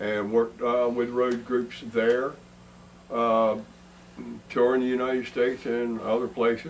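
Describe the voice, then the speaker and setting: This man's voice holds a medium pitch, moving at a moderate pace. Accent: Eastern Shore Maryland. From Delmar, Maryland Eastern Shore. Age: 60s. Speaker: bass guitarist. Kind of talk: band promo self-introduction.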